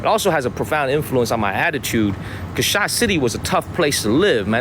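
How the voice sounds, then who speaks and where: Over noticeable background noise, a man talks at a fairly quick pace in a fairly high pitch, his voice making very wide pitch swings. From Chicago, South Side (immigrant from China as a child). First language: Chinese. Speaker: live streamer. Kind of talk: casual live stream vlog. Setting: outdoors walking street. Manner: casual slangy.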